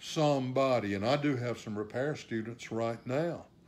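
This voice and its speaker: A plain, everyday voice comes at a fairly slow pace. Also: man. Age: 60s. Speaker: saxophonist and repair teacher. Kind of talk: live stream talk. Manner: casual, many fillers.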